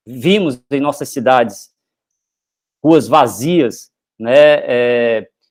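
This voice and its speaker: A man with a Paraíba accent, medium in pitch, at a very slow pace with ordinary pitch variation and long, frequent pauses. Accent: drawling Paraíba. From Brazil, Paraíba. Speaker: professor. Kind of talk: lecture. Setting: live online stream, presentation with slides. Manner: hesitant, with fillers and restarts.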